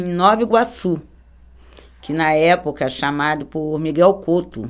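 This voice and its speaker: A woman's fairly low voice, a plain, everyday voice, at a fairly slow pace on a very clean recording with a silent background. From Rio de Janeiro, Brazil. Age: 50s. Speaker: church member giving testimony. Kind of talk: testimony.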